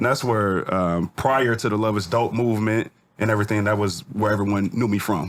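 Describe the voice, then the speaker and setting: This man has a fairly low voice and fairly even intonation. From US Pacific Northwest (Federal Way, Washington; born St Louis, moved at 10). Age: 40s. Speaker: rapper and clothing entrepreneur. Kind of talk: podcast interview, telling life story. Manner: casual, with frequent fillers and restarts.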